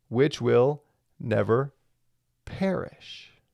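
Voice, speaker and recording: Lively intonation marks a man's medium-pitched voice on a very clean recording with a silent background. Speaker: Bible teacher. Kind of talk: Bible teaching.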